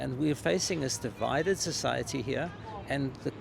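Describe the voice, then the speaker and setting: A man speaks at a fairly quick pace with a South African accent and lively intonation. Noticeable background noise runs underneath. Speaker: court observer, protester. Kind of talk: street interview. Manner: halting, many fillers.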